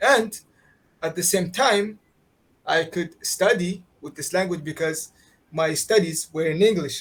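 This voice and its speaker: In an Arabic accent, a man speaks at a high pitch with ordinary pitch variation and big swings in loudness. His pace is fairly slow, with long, frequent pauses. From Qatar. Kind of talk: interview answer.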